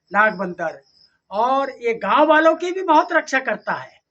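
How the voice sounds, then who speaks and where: Projecting in a raised voice, this man sounds bright and sharp in tone. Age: 70s. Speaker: former village head and retired army captain. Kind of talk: interview answers.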